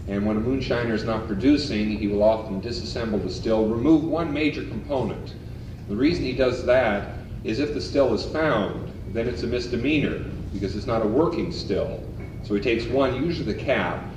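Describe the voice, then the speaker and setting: A man talks at a fairly quick pace with ordinary pitch variation. Noticeable background noise and audible room echo fill the recording. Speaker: lecturer on folk culture. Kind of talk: lecture. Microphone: old recording.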